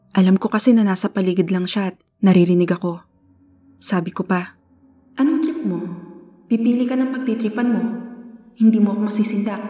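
A woman with a somewhat breathy, dark and mellow voice at a medium pitch talks at a fairly quick pace, with ordinary pitch variation and long, frequent pauses. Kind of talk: ghost story telling, first-person spooky narration of a true haunting. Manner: earnest and conversational, polite with 'po'.

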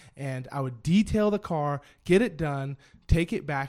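Speaking at a fairly slow pace, a man with an American accent has an unremarkable speaking voice and a fairly high pitch. The recording is very clean, with a silent background. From US Pacific Northwest, Spokane. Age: 30s. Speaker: auto detail shop owner. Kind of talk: casual chat.

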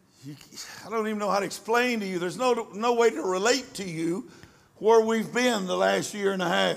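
Amid noticeable background noise and audible room echo, a man speaks at high pitch with ordinary pitch variation. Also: moderate pace. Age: 70s. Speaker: preacher. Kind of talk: sermon.

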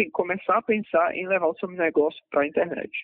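His pitch is high as this man talks at a fairly quick pace. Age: 30s. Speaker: marketing director and online shop owner. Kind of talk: interview. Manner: halting.

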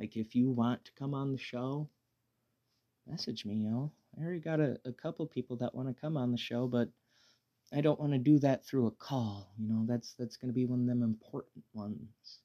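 Relaxed in tone, a man talks at a fairly quick pace with a medium pitch, ordinary pitch variation, and a dark, mellow tone in a dry, close sound with no echo. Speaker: podcast host. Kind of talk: casual monologue. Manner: relaxed, halting.

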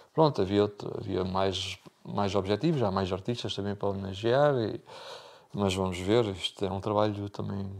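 A man with a plain, everyday voice speaks at a fairly low pitch. His pace is moderate, with ordinary pitch variation. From Portugal, Algarve (Bordeira). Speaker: accordionist. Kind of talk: interview.

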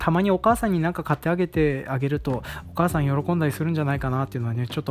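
Background noise can be clearly heard. Over it, a man speaks very fast. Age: 30s. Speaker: rice farmer and podcast host. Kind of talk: casual solo talk.

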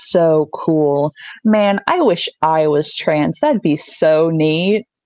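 A woman with an American accent and lively intonation, in a dry, close sound with no echo. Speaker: podcast guest. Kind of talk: casual chat. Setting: video call.

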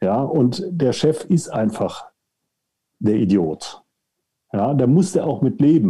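Somewhat breathy and dark, mellow in tone, a man's fairly high voice rises and falls in very wide pitch swings as he speaks at a very slow pace with long, frequent pauses. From Germany, Cologne. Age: 60s. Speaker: outplacement coach. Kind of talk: podcast interview.

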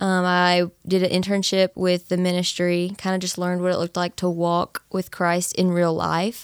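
At a moderate pace and with hardly any pauses, a woman with an American accent and a fairly low pitch speaks in a monotone, flat way, the sound dry and close with no echo on a very clean recording with a silent background. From East Texas, Nacogdoches. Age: 20s. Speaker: college student, church member. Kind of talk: casual interview, testimony.

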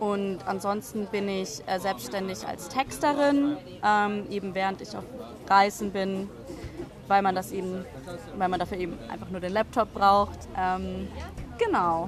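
A woman at medium pitch with ordinary pitch variation, fairly slow and full of long, frequent pauses, with crowd noise in the background and audible room echo. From Munich, Bavaria. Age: 20s. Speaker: author and blogger. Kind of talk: interview. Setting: café.

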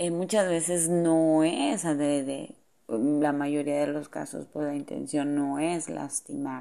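In a dark, mellow tone, a woman speaks at a very deep, low pitch and a very slow pace. Her intonation is fairly even, and the background is quiet. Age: 40s. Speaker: psychologist. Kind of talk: monologue talk.

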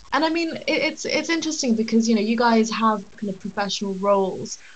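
A woman in a British accent talks at a fairly quick pace, her fairly high pitch carrying lively intonation. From UK. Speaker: podcast co-host. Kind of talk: casual chat. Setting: video call.

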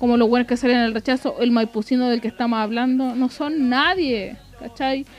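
In a Chilean accent, a woman speaks at a moderate pace with a high pitch. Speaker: podcast co-host. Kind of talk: casual chat.

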